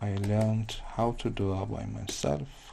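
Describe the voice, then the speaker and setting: At a very slow pace, a man speaks in a fairly low, somewhat breathy voice with a dark, mellow tone. He has a non-native accent. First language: not English. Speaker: digital artist. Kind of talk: live painting tutorial.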